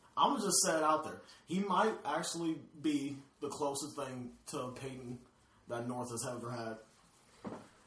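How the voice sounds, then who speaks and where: A man talks at a fairly slow pace with a fairly high pitch. Audible room echo and noticeable background noise surround him. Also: ordinary pitch variation. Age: 20s. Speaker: podcast co-host and photographer. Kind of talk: casual chat.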